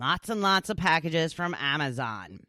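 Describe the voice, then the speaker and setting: Her pitch swings very widely as this woman speaks in a very clean recording with a silent background and a dry, close sound with no echo. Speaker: talk show host. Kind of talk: casual talk show monologue. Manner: chatty.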